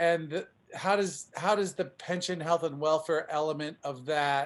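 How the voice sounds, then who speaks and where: Over a quiet background, a man with an ordinary speaking voice talks at a fairly slow pace in a fairly high pitch, with fairly even intonation. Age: 60s. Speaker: union member asking a question. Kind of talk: question in Q&A session.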